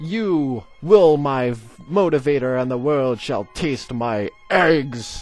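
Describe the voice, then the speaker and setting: Over faint background music, a man puts on a character voice, fairly high-pitched and very slow. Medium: read story.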